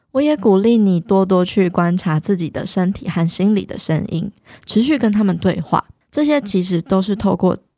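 With a Taiwanese accent, a woman speaks at a medium pitch and a moderate pace, her dark, mellow tone showing ordinary pitch variation. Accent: Taiwanese Mandarin. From Taiwan, Taichung (Dajia). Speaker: podcast host and fitness influencer. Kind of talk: solo podcast talk.

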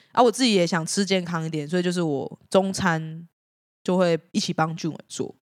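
With a dry, close sound and no echo, a woman of fairly low pitch speaks at a moderate pace with ordinary pitch variation. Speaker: band guitarist. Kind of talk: casual chat.

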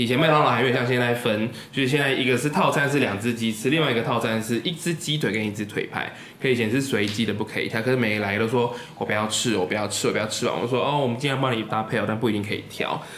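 A man at a very fast pace with hardly any pauses and very even loudness, plus audible room echo and noticeable background noise. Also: medium pitch for a man, ordinary pitch variation. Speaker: podcast host. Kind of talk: casual chat.

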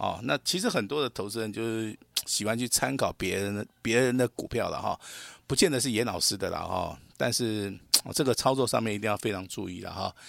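An unremarkable speaking voice, this man talks at a fairly quick pace with medium pitch and ordinary pitch variation. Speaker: stock market analyst. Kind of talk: radio market commentary.

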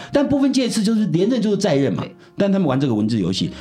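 Audible room echo surrounds a man talking very fast at a high pitch, his voice swinging very widely. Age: 70s. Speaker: philosophy professor. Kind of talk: interview.

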